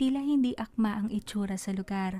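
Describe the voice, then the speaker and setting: A woman speaks in a fairly high, somewhat breathy voice with a dark, mellow tone and fairly even intonation. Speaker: author and narrator of her own stories. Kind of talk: horror fantasy story narration.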